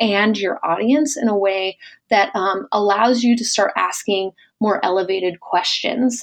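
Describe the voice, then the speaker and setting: Here is a plain, everyday voice: a woman with an American accent speaking at a moderate pace and medium pitch with ordinary pitch variation. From rural US Midwest. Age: 30s. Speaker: business advisor. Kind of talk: casual interview.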